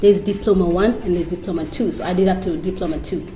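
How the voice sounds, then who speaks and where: With music in the background and audible room echo, a woman speaks in a fairly low pitch. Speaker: TV host. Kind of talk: interview. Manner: loud, vibrant.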